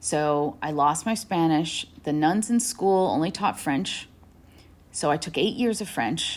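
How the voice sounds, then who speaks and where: In a plain, everyday voice, a woman with a fairly low pitch and lively intonation speaks on a very clean recording with a silent background. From New Hampshire and New York, US. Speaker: author and journalist. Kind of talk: interview. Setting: podcast interview.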